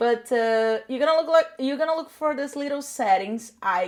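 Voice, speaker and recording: In a very clean recording with a silent background, a woman speaks with a Portuguese accent and lively intonation. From Brazil. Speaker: social media content creator. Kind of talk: tutorial. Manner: casual, chatty.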